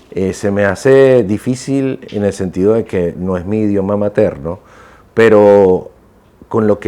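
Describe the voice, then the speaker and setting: Noticeable background noise surrounds the recording. A man with a fairly low pitch speaks with lively intonation. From Venezuela. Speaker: voice-over announcer. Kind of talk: interview.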